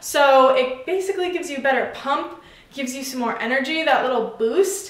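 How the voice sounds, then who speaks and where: Talking at a fairly quick pace, a woman uses a high pitch with ordinary pitch variation amid noticeable background noise. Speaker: fitness vlogger. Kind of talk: casual product review vlog. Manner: casual, chatty.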